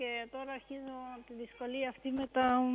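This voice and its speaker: Her pitch high, a woman talks at a moderate pace. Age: 60s. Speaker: caller. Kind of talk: call-in question. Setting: phone call. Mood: concerned, explaining her symptoms. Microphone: phone line.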